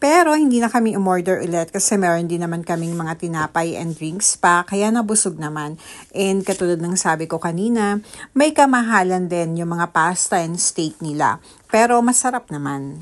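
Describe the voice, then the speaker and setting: Lively intonation from a woman with a fairly low pitch, against a quiet background. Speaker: vlogger. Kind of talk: vlog voice-over. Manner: deliberately lightened, softened voice.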